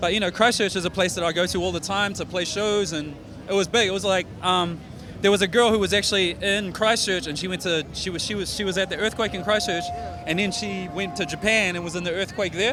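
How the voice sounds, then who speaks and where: A man with a New Zealand accent talks at a very fast pace in a raised, projected voice, high in pitch with fairly even intonation. Noticeable background noise is audible. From New Zealand, South Auckland. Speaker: rapper. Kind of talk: interview. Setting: festival interview. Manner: casual, filler-heavy.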